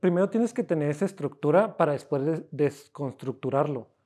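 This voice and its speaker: A man speaks in a fairly high pitch with a dark, mellow tone. His pace is moderate and the background is quiet. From Cuauhtémoc, Chihuahua, northern Mexico; Chihuahua, Mexico. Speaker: self-taught painter; interviewee. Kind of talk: casual interview. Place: workshop.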